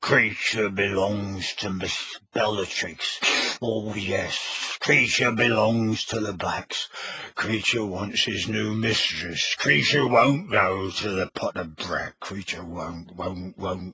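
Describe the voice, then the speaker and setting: A man in a put-on character voice speaks very slowly at a fairly low pitch, sounding croaky and gravelly. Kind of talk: speaks of himself in third person. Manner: loud, stubborn, wailing.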